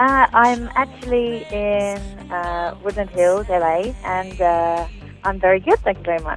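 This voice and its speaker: A woman's medium-pitched voice, fairly slow in pace with ordinary pitch variation, over music in the background. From United Kingdom. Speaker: singer. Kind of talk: interview answer.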